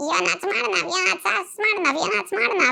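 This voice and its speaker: This put-on character voice sits at a fairly high pitch. It races along at a very fast pace. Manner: ridiculous, comical.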